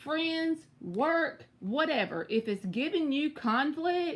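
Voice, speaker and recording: Using very wide pitch swings and an animated tone, the speaker talks with a Southern US accent. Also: woman. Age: 30s. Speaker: tarot reader. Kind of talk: live stream tarot reading.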